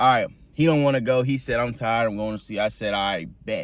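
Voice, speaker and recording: Here a man speaks at a very fast pace. His pitch is medium and his tone is animated. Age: 20s. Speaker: correctional officer and army recruit vlogger. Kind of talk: casual storytelling vlog.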